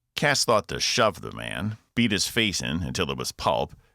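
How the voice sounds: The voice reads naturally, as if reading from a page.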